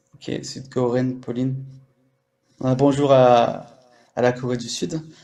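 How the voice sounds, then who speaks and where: Amid audible room echo, a man talks at a very slow pace in a monotone, flat way with long, frequent pauses. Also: big swings in loudness. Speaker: live stream host, language coach. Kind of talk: casual live chat. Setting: live audio room on app. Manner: expressive.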